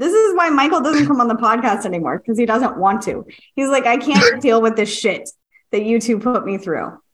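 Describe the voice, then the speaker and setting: A woman with an unremarkable speaking voice talks at a fairly quick pace, her fairly high pitch moving in lively intonation. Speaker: psychic medium and podcast host. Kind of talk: casual chat. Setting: video call.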